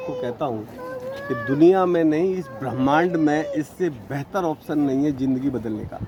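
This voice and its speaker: Noticeable background noise sits behind this man. His pitch is fairly high. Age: 60s. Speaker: network marketing distributor. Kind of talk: interview. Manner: animated.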